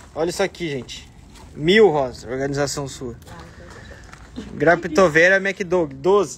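A man speaks in an animated tone with ordinary pitch variation and big swings in loudness over light background noise. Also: fairly high pitch for a man, fairly slow pace. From Brazil. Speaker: succulent shop owner and channel host. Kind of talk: live plant showcase for followers. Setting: plant shop. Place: garden. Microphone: phone near.

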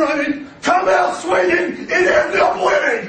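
Noticeable background noise sits behind a man with an American accent. He speaks at a moderate pace in an enthusiastic, intense tone. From Ohio, USA. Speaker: local politician. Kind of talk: campaign speech. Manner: over-enthusiastic, intense.

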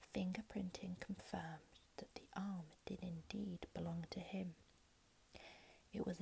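Soft-spoken, a woman talks at a fairly slow pace with fairly even intonation and vocal fry. Light background noise can be heard. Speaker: ASMR creator. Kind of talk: true crime narration, ASMR. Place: home room. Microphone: earbuds.

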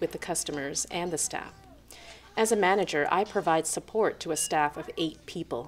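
With light background noise present, a woman talks at a moderate pace. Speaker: interviewee. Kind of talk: interview answer. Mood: friendly, calm, smiling. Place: cafe.

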